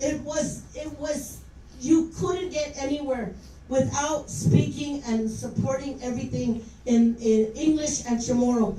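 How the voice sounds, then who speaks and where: Amid noticeable background noise and audible room echo, a woman speaks fairly slowly in a high voice with ordinary pitch variation. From Guam. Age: 60s. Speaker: public official speaking at hearing. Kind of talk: public hearing testimony. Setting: public hearing with audience. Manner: unscripted, passionate.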